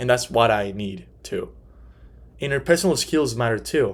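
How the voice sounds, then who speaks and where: A man talks with lively intonation. His voice is somewhat breathy. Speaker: life insurance salesman. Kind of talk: class presentation. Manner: halting.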